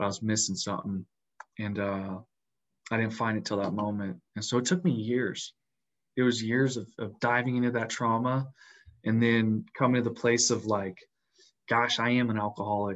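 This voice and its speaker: Fairly even intonation at a moderate pace, broken by long, frequent pauses. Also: man, medium pitch for a man. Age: 20s. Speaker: wildfire firefighter. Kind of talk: interview testimony.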